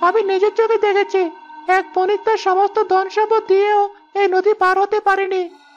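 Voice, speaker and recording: A cartoonish character voice at an extremely high pitch moves at a moderate pace with monotone, flat intonation. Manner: brash, familiar.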